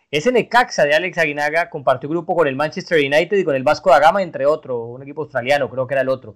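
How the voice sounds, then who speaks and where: Talking very fast with hardly any pauses, a man keeps a fairly high pitch and ordinary pitch variation. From Colombia. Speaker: sports podcast host. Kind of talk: interview.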